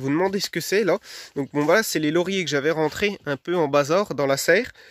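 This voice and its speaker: A man speaks very fast at a fairly high pitch, with ordinary pitch variation. The recording is very clean with a silent background, and the sound is dry and close with no echo. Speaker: vegetable gardening youtuber. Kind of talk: casual video talk to viewers. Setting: garden greenhouse, then outdoors. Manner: hesitant, many fillers.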